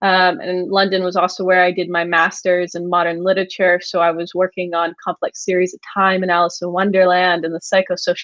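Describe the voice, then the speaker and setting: With an American accent, a woman talks at a fairly quick pace in a medium pitch, her intonation monotone and flat. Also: hardly any pauses. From United States. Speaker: agency founder, copywriter. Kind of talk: podcast interview.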